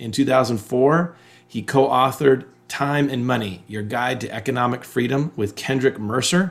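A man talks at a moderate pace in a normal speaking voice. His pitch is medium, with ordinary variation. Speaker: podcast host and coach. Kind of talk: interview conversation.

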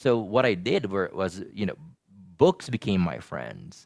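A man speaks at a moderate pace with vocal fry, on a very clean recording with a silent background. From Philippines. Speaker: energy healer. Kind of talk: interview.

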